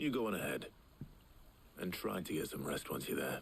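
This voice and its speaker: Using a put-on character voice in a very deep, low pitch, a raspy man talks at a fairly quick pace over clear background noise. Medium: video game. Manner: measured.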